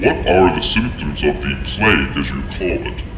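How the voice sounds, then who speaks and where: A man does a put-on character voice at a moderate pace, with slight echo and loud background noise. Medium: audio drama. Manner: formal, measured.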